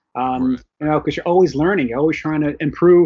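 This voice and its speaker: An ordinary speaking voice with an American accent and fairly even intonation. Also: man. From New York (Bronx). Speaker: novelist. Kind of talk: casual interview. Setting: video call.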